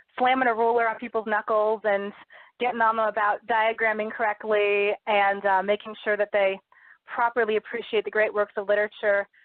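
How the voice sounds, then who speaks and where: A woman with a fairly high voice speaks at a fairly quick pace in a monotone, flat delivery. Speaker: high school English teacher and author. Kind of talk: radio interview. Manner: fast.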